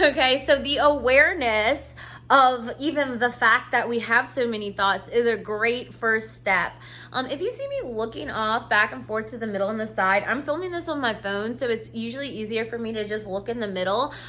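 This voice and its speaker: A woman speaks in an unremarkable speaking voice, fairly high in pitch. Her pace is moderate and her pitch variation ordinary. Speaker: self-help coach. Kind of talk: casual talk to camera. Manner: casual with many fillers.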